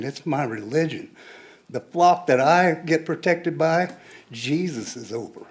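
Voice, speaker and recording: A man with a Midwestern US accent talks at a fairly high pitch with ordinary pitch variation. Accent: US Midwest. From Kansas (Pittsburg). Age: 60s. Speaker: public commenter. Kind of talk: public comment at city meeting. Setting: city commission meeting.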